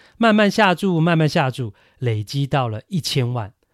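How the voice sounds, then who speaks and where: A man with a Taiwanese accent and very wide pitch swings, in a very clean recording with a silent background and a dry, close sound with no echo. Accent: Taiwanese Mandarin. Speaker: baseball podcast host. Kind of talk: solo podcast commentary. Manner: conversational with many fillers.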